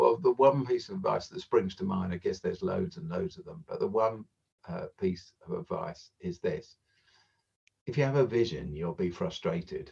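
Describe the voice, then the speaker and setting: Somewhat breathy, a man with a southern English accent speaks with very wide pitch swings. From South London (Croydon). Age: 60s. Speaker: charity founder. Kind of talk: podcast interview. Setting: video call.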